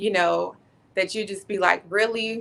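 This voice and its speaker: Loud and bright with a sharp edge, a woman speaks at a medium pitch. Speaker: Air Force senior enlisted leader. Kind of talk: podcast interview. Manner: animated.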